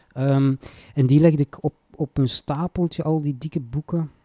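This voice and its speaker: A man speaks at a very slow pace in a dark, mellow tone. The sound is dry and close, with no echo. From Flanders, Belgium (Antwerp province). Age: 40s. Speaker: poet and writing teacher. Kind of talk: casual interview.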